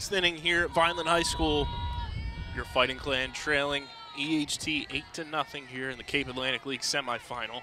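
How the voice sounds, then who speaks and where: A man with a fairly high voice speaks over noticeable background noise. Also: ordinary pitch variation. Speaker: high school sports broadcaster. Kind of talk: live sports commentary. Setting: ballpark broadcast. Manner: quick, clipped play-by-play, rising on fly balls, upbeat.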